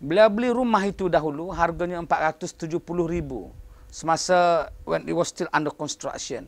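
A man with a high-pitched voice talks at a fairly slow pace. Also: ordinary pitch variation. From Malaysia. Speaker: professor. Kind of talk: interview. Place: office. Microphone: lapel.

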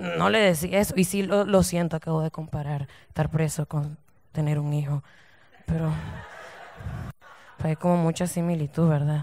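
Pausing long and often, a woman speaks at a very deep, low pitch with ordinary pitch variation. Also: moderate pace. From Nicaragua. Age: 20s. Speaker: stand-up comedian. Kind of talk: stand-up comedy set. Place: stage. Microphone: handheld.

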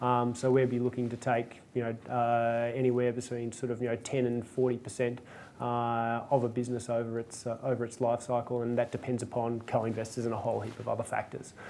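Talking at a fairly quick pace with hardly any pauses, a man with an Australian accent uses a dark, mellow tone and monotone, flat intonation over light background noise. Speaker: venture capital investor; guest. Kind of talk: panel discussion. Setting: stage with audience. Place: hall. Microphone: lapel.

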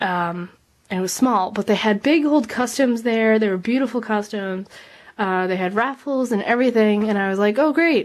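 At a moderate pace, a woman speaks in a fairly high pitch with ordinary pitch variation. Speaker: model horse hobbyist vlogger. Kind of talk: casual tutorial vlog. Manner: rambling, filler-heavy. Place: home room. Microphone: phone near.

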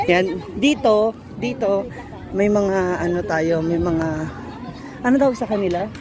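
Crowd noise sits in the background, and the room has an audible echo. The speaker goes at a fairly slow pace with long, frequent pauses and ordinary pitch variation. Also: woman, medium pitch for a woman. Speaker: vlogger. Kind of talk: walking vlog narration. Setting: outdoors. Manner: animated.

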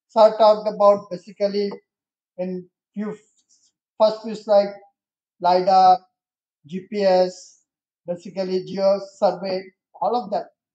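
Over a quiet background with audible room echo, the voice has a dark, mellow tone and monotone, flat intonation, moving at a fairly slow pace with long, frequent pauses. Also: man, high pitch for a man. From India. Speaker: electronics industry leader; guest. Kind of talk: presentation. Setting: stage with audience. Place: hall. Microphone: podium.

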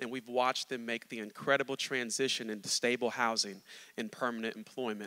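Speaking at a fairly quick pace, a man uses a medium pitch and a bright, sharp tone with monotone, flat intonation. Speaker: pastor. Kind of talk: sermon. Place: stage. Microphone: handheld.

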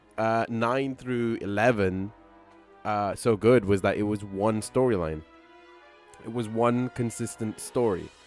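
A man is heard in a dry sound with no echo. Faint music plays in the background. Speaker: game streamer. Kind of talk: casual commentary.

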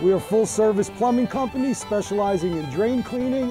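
Clear music plays in the background as the speaker talks at a fairly quick pace with lively intonation. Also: man. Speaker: business owner in commercial. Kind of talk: TV commercial read. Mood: friendly, cheerful. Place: street.

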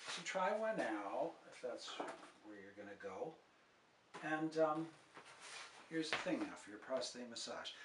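The man talking has lively intonation. Behind him, background noise is noticeable. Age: 70s. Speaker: health video presenter. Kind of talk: tutorial.

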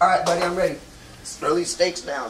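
With faint background noise, a man talks at a fairly quick pace in a high pitch, his tone fairly bright and his pitch variation ordinary.

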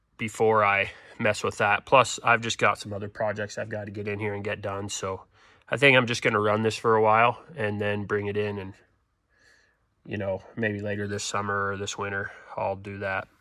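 A man talks at a moderate pace with a fairly low pitch and a bright, sharp tone. The background is quiet. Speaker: farmer restoring tractor. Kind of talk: casual vlog chat. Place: garage. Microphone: phone near.

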